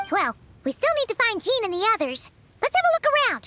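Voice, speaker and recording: Over music in the background, a squeaky, put-on character voice at an extremely high pitch takes very wide pitch swings at a fairly quick pace. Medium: video game. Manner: calm, measured.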